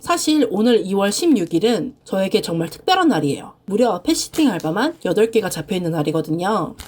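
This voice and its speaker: A woman at a fairly quick pace, very wide pitch swings, noticeable background noise behind her. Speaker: frugal-living vlogger with side jobs. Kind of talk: vlog voice-over narration.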